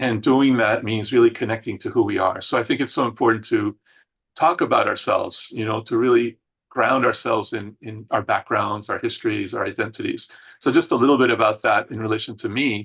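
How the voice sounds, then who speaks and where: The background is quiet. A man with a Spanish accent talks at a fairly quick pace. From Argentina, then Queens New York and Puerto Rico. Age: 60s. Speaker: psychologist and inclusion consultant. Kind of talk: interview. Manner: many fillers (um, uh).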